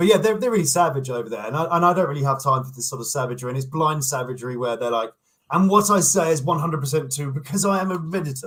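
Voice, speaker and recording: With a British accent, a man speaks very fast at a fairly high pitch with lively intonation. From England. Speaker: online commentator, YouTuber. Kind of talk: casual interview chat. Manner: halting, repeats words.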